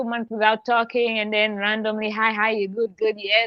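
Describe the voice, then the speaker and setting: This is a plain, everyday voice. A woman speaks at a fairly high pitch. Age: 30s. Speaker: guest, mental health advocate and strategist. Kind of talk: casual chat.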